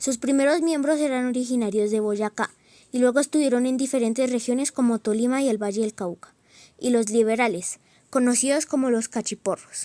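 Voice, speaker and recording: A woman with a high pitch and a dark, mellow tone talks at a fairly quick pace with ordinary pitch variation, in a dry, close sound with no echo. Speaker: student documentary narrator. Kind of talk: scripted narration.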